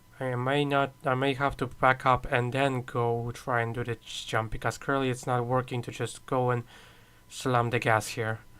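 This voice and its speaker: Over a silent background on a very clean recording, a man with a Polish accent talks at a moderate pace, his medium pitch held monotone and flat. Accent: Polish accent, noticeable. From Poland. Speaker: gaming streamer. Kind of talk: live gaming stream commentary. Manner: halting, many fillers.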